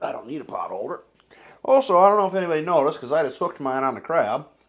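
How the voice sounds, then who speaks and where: A man talking at a very fast pace, with lively intonation. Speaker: food review youtuber. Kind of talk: casual chat. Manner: loud.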